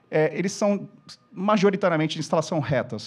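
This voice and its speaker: The man's pace is fairly quick. Music can be heard in the background. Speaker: corporate speaker on LED displays. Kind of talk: lecture. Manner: fast.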